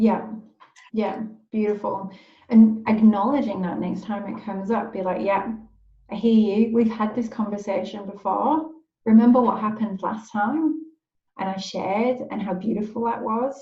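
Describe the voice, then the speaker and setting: Audible room echo surrounds a woman speaking at a moderate pace, her pitch fairly high and her intonation fairly even. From northeast England. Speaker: life coach. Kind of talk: live video group session.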